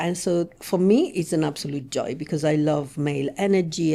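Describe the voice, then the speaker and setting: A woman with an Italian accent speaks at a fairly low pitch in a dark, mellow tone. Her pitch variation is ordinary. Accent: warm Italian. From Italy, Rome. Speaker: relationship coach. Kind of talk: podcast interview.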